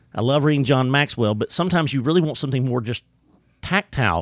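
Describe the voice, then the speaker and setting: With a strong East Texas accent, a man talks at medium pitch with lively intonation in a very clean, dry, close recording with no echo and a silent background. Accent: strong East Texas Southern drawl. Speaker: employee development trainer and speaker. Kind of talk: casual interview chat. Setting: studio.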